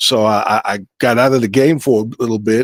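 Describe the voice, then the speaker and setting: Man with a New York accent, medium pitch, moderate pace and fairly even intonation, dry and close with no echo, on a very clean recording with a silent background. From New York City, Brooklyn. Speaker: musician. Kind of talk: interview. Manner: halting.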